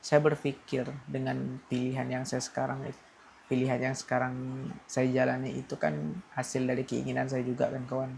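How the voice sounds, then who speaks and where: The pace of this man's speech is moderate. His medium pitch varies in an ordinary way. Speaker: vlogger. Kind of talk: casual vlog monologue, personal venting. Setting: at home at night. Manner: hesitant, self-correcting.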